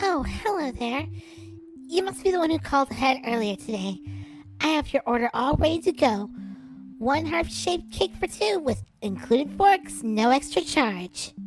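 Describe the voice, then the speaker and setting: A woman uses a put-on character voice at a high pitch and a moderate pace. Clear music plays in the background. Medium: audio drama. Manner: polite, warm.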